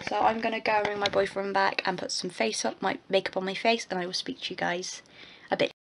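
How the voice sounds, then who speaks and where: Noticeable background noise fills the clip as the voice moves at a fairly quick pace. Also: woman. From England. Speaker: vlogger. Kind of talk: casual vlog. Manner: halting. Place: home room. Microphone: phone near.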